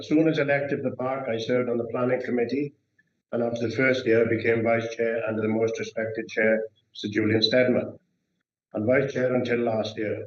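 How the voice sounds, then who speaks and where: A man's medium-pitched voice in a Welsh accent, with monotone, flat intonation. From Wales, Brecon Beacons area. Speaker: councillor. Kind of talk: formal candidacy speech. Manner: halting.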